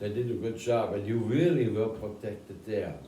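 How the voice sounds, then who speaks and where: A man with a German accent at a fairly slow pace, against noticeable background noise. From Germany. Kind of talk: interview answer.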